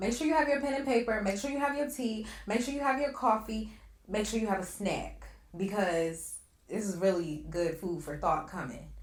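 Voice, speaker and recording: A woman speaks at a moderate pace in a medium pitch. Her tone is upbeat, with very wide pitch swings. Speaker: podcast host. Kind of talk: podcast intro to audience.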